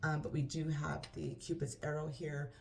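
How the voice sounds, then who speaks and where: A woman speaks with a very deep, low pitch and vocal fry. Room echo is audible. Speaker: tarot reader. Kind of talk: tarot reading. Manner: stutter; halting.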